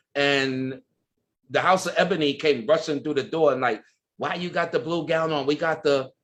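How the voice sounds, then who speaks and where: A man's animated, fairly high voice at a moderate pace. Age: 60s. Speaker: ballroom culture icon. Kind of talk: interview.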